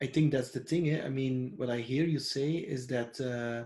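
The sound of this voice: A man's dark, mellow tone at medium pitch, with fairly even intonation. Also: moderate pace.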